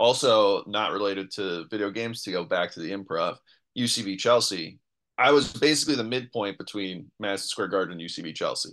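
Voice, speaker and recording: A man with an American accent and an ordinary speaking voice, fairly low pitch, ordinary pitch variation, fairly quick pace and big swings in loudness, over a quiet background. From New York City. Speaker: comedian and improviser. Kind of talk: casual chat.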